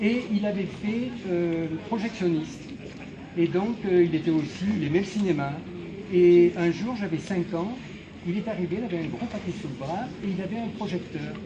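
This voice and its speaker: Against noticeable background noise and audible room echo, a man with a high pitch talks at a fairly slow pace with ordinary pitch variation. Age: 70s. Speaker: retired teacher and poster collector, exhibition donor. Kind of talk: casual speech at an exhibition opening. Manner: hesitant, many filler sounds.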